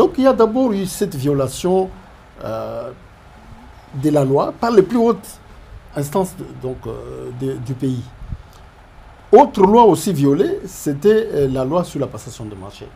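A man speaks very slowly in a fairly high voice, with long, frequent pauses. His pitch swings very widely and his loudness swings a lot. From DR Congo. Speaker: professor, public finance analyst. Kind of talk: interview. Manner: halting, many hesitations and repetitions. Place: studio.

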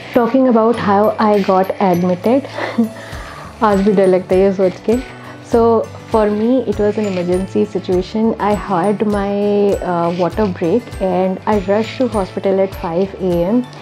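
A woman at a very slow pace, fairly even in intonation and very even in loudness, with clear music in the background. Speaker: vlogger sharing a birth experience. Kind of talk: casual vlog chat. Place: home room.

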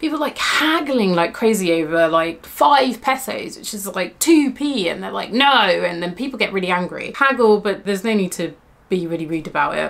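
A woman speaks at medium pitch with a fairly bright tone and some vocal fry.

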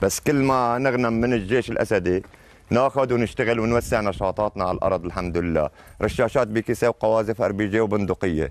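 A man speaks at a medium pitch with very even loudness, in a dry recording with no echo. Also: ordinary pitch variation, moderate pace. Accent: Latakia. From Syria, Latakia; Syria. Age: old. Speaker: rebel fighter. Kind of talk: field interview. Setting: outdoors in a village. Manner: animated, joyful. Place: street. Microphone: camera far.

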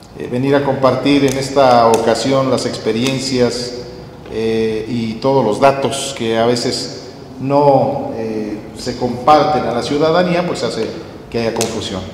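Amid noticeable background noise, the speech moves at a very slow pace with fairly even intonation. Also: man, medium pitch for a man. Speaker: event moderator. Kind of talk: formal welcome speech. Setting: stage with audience. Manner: halting.

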